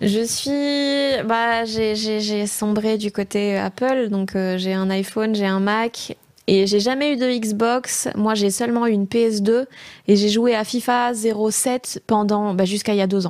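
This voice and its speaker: Very slow speech comes from a woman with a fairly high pitch. Her intonation is fairly even, on a very clean recording with a silent background. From Belgium, rural province. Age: 20s. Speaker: comedian. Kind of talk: casual chat. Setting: studio.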